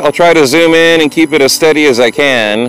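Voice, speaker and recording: Faint music sits in the background of a dry recording with no echo. A man speaks over it at a moderate pace. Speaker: vlogger filming on a walk. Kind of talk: casual vlog chat. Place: open country. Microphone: lapel.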